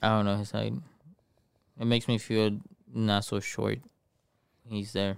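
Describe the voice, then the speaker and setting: With a Spanish accent, a man talks at a fairly low pitch. He leaves long, frequent pauses. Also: fairly even intonation, moderate pace. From Mexico. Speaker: podcast co-host and streamer. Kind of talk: casual chat. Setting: online stream. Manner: casual, profane.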